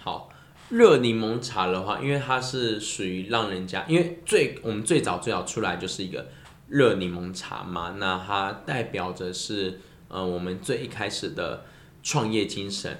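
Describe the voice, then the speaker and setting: A man's fairly low voice, lively in intonation and fairly slow, with audible room echo. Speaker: lemon tea business owner. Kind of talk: casual chat.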